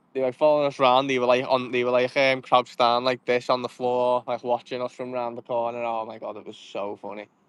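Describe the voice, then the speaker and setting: A man with a medium pitch talks at a very fast pace, with hardly any pauses and monotone, flat intonation. His loudness swings widely, in a dry, close sound with no echo. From Liverpool, England. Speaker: fishing vlogger. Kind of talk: live-stream commentary while fishing, reading chat. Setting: outdoors at a lake.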